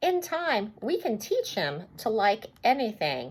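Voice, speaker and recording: Putting on a character voice, a woman speaks at a fairly slow pace with fairly high pitch and very wide pitch swings. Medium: read story.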